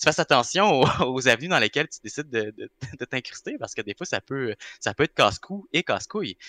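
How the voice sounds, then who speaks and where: A man's bright, sharp tone at a very fast pace, with very wide pitch swings and big swings in loudness. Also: fairly high pitch for a man, dry, close sound with no echo. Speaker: actor. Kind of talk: casual chat.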